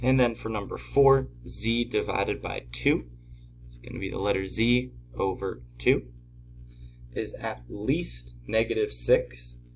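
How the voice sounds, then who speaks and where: Music plays in the background as a man talks fairly slowly at a very deep, low pitch. His pitch swings very widely and his loudness shifts a lot. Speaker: math teacher. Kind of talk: tutorial. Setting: at home.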